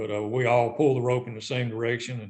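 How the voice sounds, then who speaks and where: Speaking at a moderate pace with a Southern US accent, a man has a medium-pitched, somewhat breathy voice. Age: 60s. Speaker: retired tournament director. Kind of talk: casual interview.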